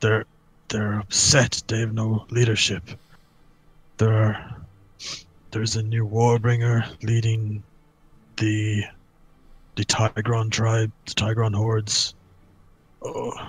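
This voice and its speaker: A man's put-on character voice at a medium pitch, fairly slow, with long, frequent pauses. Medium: game stream. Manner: hesitant, stammering, humble.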